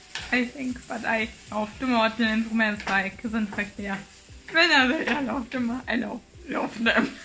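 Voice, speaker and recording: There is noticeable background noise. Through it, a woman speaks with a strong German accent. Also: fairly high pitch for a woman, fairly even intonation, moderate pace. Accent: German accent, thick. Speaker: vlogger. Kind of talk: casual vlog chat. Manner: halting.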